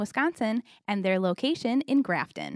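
The sound is close and dry, without any echo. A woman talks with lively intonation. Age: 30. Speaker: chamber of commerce podcast host. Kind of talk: scripted segment intro; casual interview.

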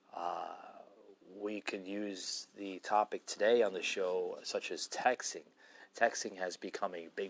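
Speaking at a very slow pace, a man uses a fairly low pitch and fairly even intonation. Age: 30s. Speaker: podcast host. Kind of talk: solo monologue podcast. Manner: halting, many fillers and repetitions.

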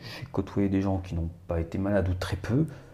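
A man's fairly low, dark, mellow voice, somewhat breathy, at a moderate pace with fairly even intonation. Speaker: photographer and actor. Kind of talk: casual chat.

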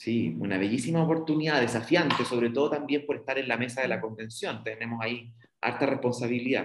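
A man speaks at a medium pitch and a fairly quick pace, his pitch varying in an ordinary way. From southern Chile. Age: 30s. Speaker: politician. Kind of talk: interview. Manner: halting.

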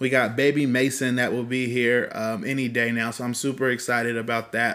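A man speaks with a Californian accent. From California (Fresno). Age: 30s. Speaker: podcast co-host, entrepreneur. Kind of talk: casual chat.

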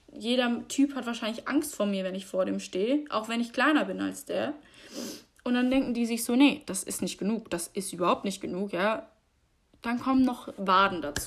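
A woman speaks at a moderate pace with a fairly high pitch and vocal fry. Her tone is animated and her intonation lively. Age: 20s. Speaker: podcaster. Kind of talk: casual monologue.

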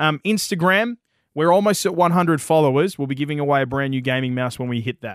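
Very fast and enthusiastic, a man talks with lively intonation at a fairly high pitch. The recording is very clean, with a silent background. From Western Australia. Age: younger than co-host. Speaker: gaming podcast co-host. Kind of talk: casual chat.

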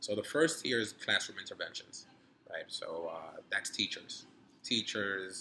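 A man with a New York accent at a moderate pace. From New York City (Harlem), born in Dominican Republic. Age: 30s. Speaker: grad student and entrepreneur. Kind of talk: casual interview. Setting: hotel cigar lounge.

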